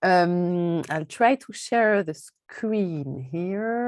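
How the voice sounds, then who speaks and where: In a strong French accent, a woman with a fairly low pitch speaks with lively intonation. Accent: heavy French. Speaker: political science professor, author. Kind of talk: book presentation. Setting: video call.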